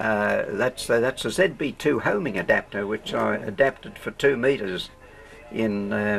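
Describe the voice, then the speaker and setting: With music in the background, a man talks at a fairly slow pace in an Australian accent. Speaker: ham radio operator. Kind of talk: explaining equipment to camera. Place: workshop. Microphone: old recording.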